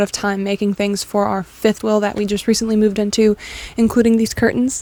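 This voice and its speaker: The intonation is fairly even, with noticeable background noise behind the voice. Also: woman. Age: 20s. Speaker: vlogger. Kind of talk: casual vlog monologue. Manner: fast.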